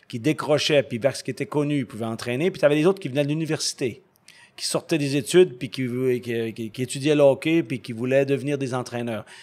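Very fast speech comes from a man with fairly high pitch and ordinary pitch variation. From Quebec. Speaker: ice hockey coach. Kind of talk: interview. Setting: ice rink.

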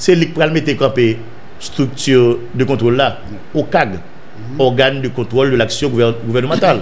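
This man talks at a fairly slow pace, with medium pitch and ordinary pitch variation. Light background noise can be heard. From Haiti. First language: Haitian Creole (speaking French). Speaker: political news commentator. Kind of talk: news commentary monologue. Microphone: studio mic.

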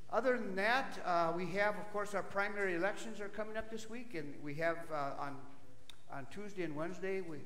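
Swinging very widely in pitch at a fairly quick pace, a man speaks with audible room echo and light background noise. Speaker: pastor. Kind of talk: church announcements. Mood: friendly, jovial. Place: church.

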